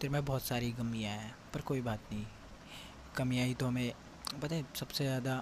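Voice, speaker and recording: Long, frequent pauses break up a man's somewhat breathy speech. His intonation stays fairly even. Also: medium pitch for a man. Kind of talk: casual personal message to a friend.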